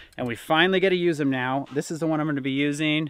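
A man speaks with ordinary pitch variation. The sound is dry with no echo. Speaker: outdoor vlogger. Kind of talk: casual vlog chat. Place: boat. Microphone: phone near.

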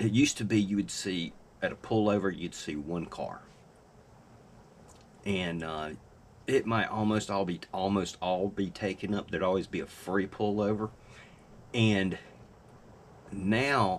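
Over light background noise, a man speaks with a fairly low pitch and ordinary pitch variation. He goes at a fairly slow pace, with long, frequent pauses. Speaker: fishing vlogger. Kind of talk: casual vlog chat. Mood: relaxed, lightly joking. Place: home room. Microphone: webcam.

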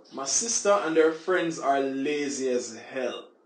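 A man is speaking. Audible echo fills the room. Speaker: vlogger. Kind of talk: casual vlog chat. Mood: joking, boastful. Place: home room.

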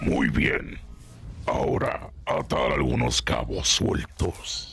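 A raspy man speaks at a very slow pace with clear background noise behind him. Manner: scornful, menacing.

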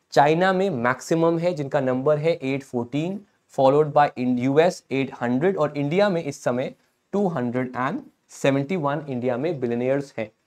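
Fairly slow and fairly high-pitched, a man speaks with ordinary pitch variation. The background is quiet. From India. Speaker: online exam-prep teacher. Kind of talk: live-streamed current affairs lecture. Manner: animated. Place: studio. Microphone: lapel.

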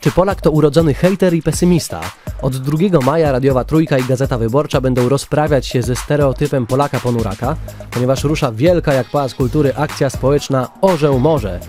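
Over music in the background, a man with a fairly high pitch speaks at a very fast pace. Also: ordinary pitch variation. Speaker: radio host. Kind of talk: radio news review.

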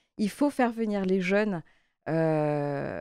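A woman speaks in a dark, mellow tone. The sound is dry with no echo, and the background is quiet. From Martinique. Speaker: member of parliament, election candidate. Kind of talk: interview. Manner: halting, frequent hesitations. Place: studio.

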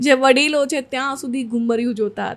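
This woman's high-pitched voice stays monotone, with flat intonation throughout. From Saurashtra, Gujarat (near Junagadh), raised in Surat; Gujarat. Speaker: social media creator and music video actress; social media creator, music video actress. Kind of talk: casual interview. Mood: relaxed, smiling. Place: studio. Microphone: studio mic.

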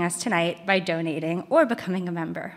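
A woman is speaking. Her pitch rises and falls in an ordinary way. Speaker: event program manager. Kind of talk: formal event announcements. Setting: stage with audience, also streamed. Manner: formal. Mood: friendly, smiling. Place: stage. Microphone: studio mic.

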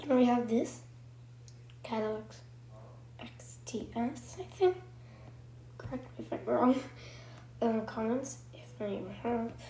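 A woman at a fairly slow pace, with long, frequent pauses, big swings in loudness and noticeable background noise. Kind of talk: casual game commentary.

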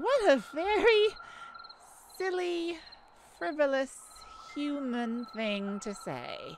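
Using a put-on character voice, a woman talks slowly at a high pitch with lively intonation.

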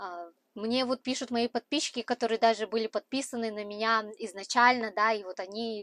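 Her pitch fairly high, a woman speaks at a moderate pace with fairly even intonation in a dry sound with no echo. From Kazakhstan, Aktobe; Kazakhstan. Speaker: truck driver and vlogger; vlogger. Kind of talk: vlog talk to camera. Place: car. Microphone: lapel.

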